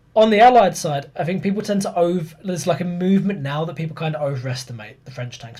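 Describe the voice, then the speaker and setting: This man's somewhat breathy voice rushes along very fast, with ordinary pitch variation. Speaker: podcast host, history presenter. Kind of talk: casual chat and explaining history.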